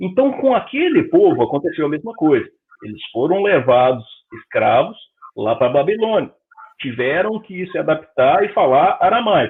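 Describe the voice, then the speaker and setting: At a moderate pace, a man talks with a Brazilian accent. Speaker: spiritist lecturer. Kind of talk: lecture. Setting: public meeting, streamed. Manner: conversational.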